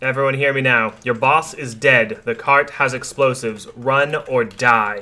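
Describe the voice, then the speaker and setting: A man uses a booming put-on character voice at medium pitch and a moderate pace. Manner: commanding, intimidating.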